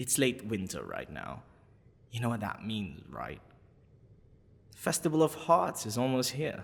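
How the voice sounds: A man's put-on character voice, fairly low in pitch, with vocal fry, very wide pitch swings and a fairly slow pace.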